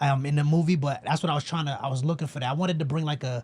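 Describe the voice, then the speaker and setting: Somewhat breathy, a man speaks with a New York accent and fairly even intonation. His pitch is fairly high. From New York, the Bronx. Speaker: filmmaker. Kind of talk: casual chat.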